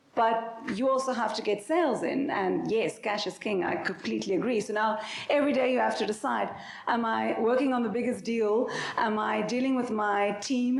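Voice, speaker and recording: Fairly high in pitch, a woman speaks at a fairly quick pace with ordinary pitch variation. The recording has audible room echo and noticeable background noise. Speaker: company founder and CEO, panelist. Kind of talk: panel discussion.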